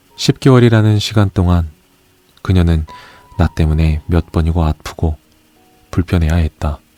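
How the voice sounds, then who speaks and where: In a calm tone with ordinary pitch variation and very even loudness, the speaker talks at a moderate pace with long, frequent pauses, in a dry, close sound with no echo, while music plays in the background. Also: man, very deep, low pitch for a man. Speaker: audiobook narrator. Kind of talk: audiobook reading of essays. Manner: soft-spoken, calm.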